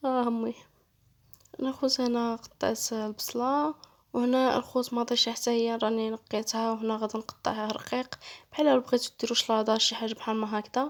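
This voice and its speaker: Tired in tone, a woman speaks at a moderate pace. Her fairly high pitch stays monotone and flat. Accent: Moroccan. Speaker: cooking channel host. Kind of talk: cooking tutorial. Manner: tired, low-energy.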